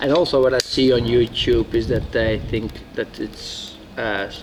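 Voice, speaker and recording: Against noticeable background noise, a man with a strong Dutch accent speaks at a medium pitch with ordinary pitch variation. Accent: heavy Dutch. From Netherlands. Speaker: former soldier, outdoor hobbyist. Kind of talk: casual product talk to camera.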